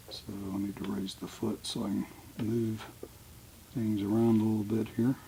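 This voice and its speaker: A man at a moderate pace and fairly low pitch, with noticeable background noise. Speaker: sewist. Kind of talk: sewing tutorial. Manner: casual.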